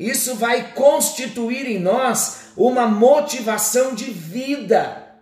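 Over music in the background, a man with an extremely high pitch talks at a very slow pace with hardly any pauses, ordinary pitch variation and big swings in loudness. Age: 50s. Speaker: pastor. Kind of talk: sermon.

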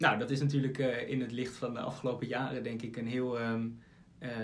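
A man's medium-pitched voice stays monotone and flat at a moderate pace, with audible room echo. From Aalsmeer, Netherlands. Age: 20s. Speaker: podcast host and law student. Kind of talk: interview.

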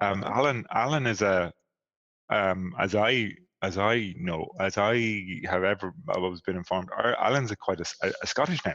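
With a plain, everyday voice, this man speaks fairly low, at a moderate pace, his pitch varying in an ordinary way. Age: 40s. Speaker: podcast co-host and coach. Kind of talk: casual chat.

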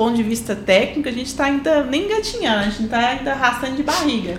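Amid noticeable background noise and audible room echo, a woman speaks with a high pitch, lively intonation and a fairly quick pace. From Belo Horizonte, Minas Gerais, Brazil. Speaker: civil engineer, podcast co-host. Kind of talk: casual chat.

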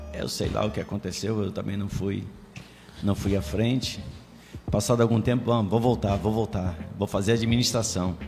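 Noticeable background noise behind a man with fairly low pitch, fairly even intonation, a moderate pace and long, frequent pauses. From Rio de Janeiro, Complexo do Alemão. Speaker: apostle and church leader. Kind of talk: casual chat.

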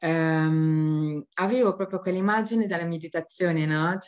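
A woman's fairly low voice at a fairly slow pace with lively intonation. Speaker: stress and burnout coach. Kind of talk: talk to an online audience. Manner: soft, gentle.

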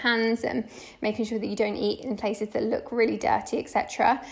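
Fairly high-pitched woman with a British accent, at a moderate pace. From UK. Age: 20s. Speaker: travel blogger. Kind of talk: interview.

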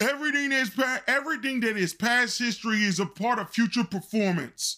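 The man's tone is bright and sharp. He uses a raised, projected voice at a moderate pace. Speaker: podcast host. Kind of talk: angry rant, scolding monologue; podcast monologue with news commentary. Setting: studio podcast. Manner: loud, fiery, confrontational, lecturing the audience.

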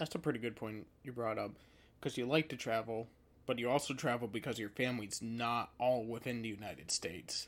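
A man's voice at medium pitch, with ordinary pitch variation and a fairly quick pace. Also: very clean recording, silent background. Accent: upstate New York. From upstate New York. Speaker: podcast host. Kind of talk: casual chat.

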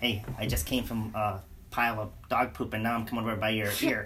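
A put-on character voice, low in pitch and whiny in tone, moves at a fairly quick pace. Clear background noise runs behind it. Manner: pestering, whiny, comedic.

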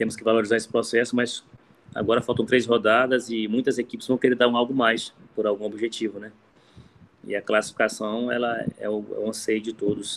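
The man talks at a fairly quick pace, his medium-pitched voice monotone and flat. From Brazil, Maranhão (raised in Imperatriz). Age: 30s. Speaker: football coach. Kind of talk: interview. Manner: halting, repeats words.

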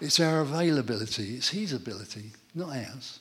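With an English accent, this man's pitch swings very widely. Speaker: church testimony speaker. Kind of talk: testimony. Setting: church gathering with audience.

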